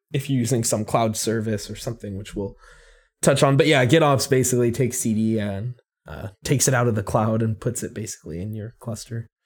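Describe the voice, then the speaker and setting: A man speaks at a fairly quick pace with a medium pitch and ordinary pitch variation. His voice is somewhat breathy, on a very clean recording with a silent background. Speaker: podcast host. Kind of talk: casual chat.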